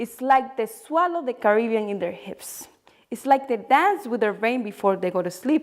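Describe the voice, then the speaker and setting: Here is a woman speaking. She has a Spanish accent. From Dominican Republic. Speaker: poet. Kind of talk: spoken word poetry reading.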